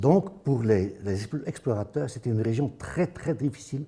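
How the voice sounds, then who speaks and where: Somewhat breathy with a dark, mellow tone, the voice carries a Dutch accent. It moves at a moderate pace with lively intonation. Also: man. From Flanders, northern Belgium. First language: Dutch (speaking French). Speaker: anthropologist. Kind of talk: lecture. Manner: halting, with hesitations and restarts.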